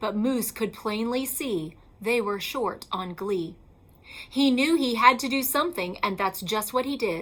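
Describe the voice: A woman talks at a fairly slow pace in a fairly high voice. Her intonation is lively.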